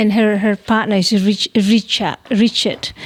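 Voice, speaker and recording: Through noticeable background noise, a woman speaks at medium pitch with fairly even intonation. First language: Savu language (Savoni). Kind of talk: casual chat.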